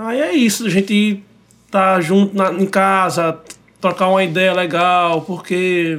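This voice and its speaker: The pitch of this man's voice varies in an ordinary way. He talks fairly slowly. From Recife, Brazil. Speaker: singer-songwriter. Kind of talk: casual chat, interview. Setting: radio studio.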